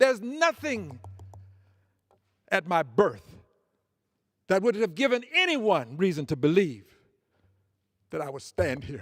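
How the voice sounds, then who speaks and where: A high-pitched man with a Southern US accent speaks at a fairly slow pace with long, frequent pauses. His voice makes very wide pitch swings and big swings in loudness. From US South. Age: 70s. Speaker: congressman. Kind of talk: floor speech. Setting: legislative chamber. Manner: formal.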